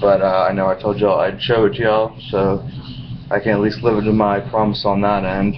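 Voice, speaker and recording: A man with a fairly low pitch and ordinary pitch variation, against noticeable background noise. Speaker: wrestling DVD collector. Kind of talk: casual talk to camera.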